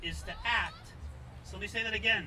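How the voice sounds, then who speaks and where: With crowd noise behind him, a man talks in an American accent. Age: 60s. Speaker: political candidate. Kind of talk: campaign speech. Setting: outdoor rally at a farmer's market.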